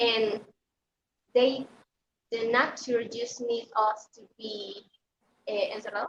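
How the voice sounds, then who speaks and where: A woman with a Spanish accent at a very slow pace, fairly high pitch, ordinary pitch variation, big swings in loudness and long, frequent pauses. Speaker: beauty pageant contestant. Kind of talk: interview. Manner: halting.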